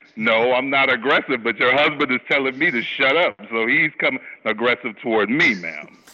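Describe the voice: The voice is loud with a bright, sharp tone. Pitch varies in an ordinary way at a fairly quick pace. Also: man, medium pitch for a man.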